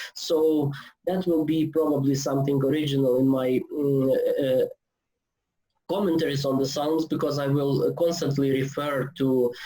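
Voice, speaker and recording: A man with a non-native accent talks at a moderate pace with fairly high pitch and a dark, mellow tone. His intonation is monotone and flat, his loudness very even, and the room echo audible. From Ukraine. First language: Ukrainian. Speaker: theology lecturer. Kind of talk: online lecture. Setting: online video seminar. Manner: hesitant, many fillers.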